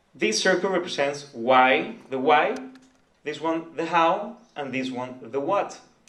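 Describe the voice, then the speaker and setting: Audible room echo surrounds a man who speaks at a fairly slow pace and fairly high pitch, with lively intonation. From Nicaragua. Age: 20s. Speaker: entrepreneur. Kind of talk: presentation. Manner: halting.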